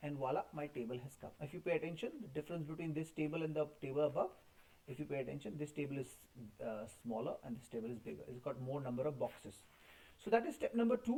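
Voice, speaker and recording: Very fast and somewhat breathy, a man speaks in a dark, mellow tone with lively intonation. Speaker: school computer teacher. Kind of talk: tutorial. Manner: halting.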